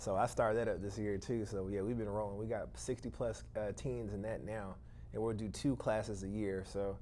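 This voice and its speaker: At a fairly quick pace, the voice has a dark, mellow tone and fairly even intonation, with audible room echo around it. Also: man, fairly low pitch for a man. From Atlanta, Georgia. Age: 30s. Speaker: real estate investor. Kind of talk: interview.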